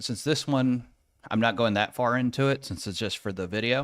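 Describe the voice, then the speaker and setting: On a very clean recording with a silent background, a man speaks at a medium pitch and a fairly quick pace, with ordinary pitch variation. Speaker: IT tech streamer. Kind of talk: live tutorial. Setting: live stream with screen share. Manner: fast.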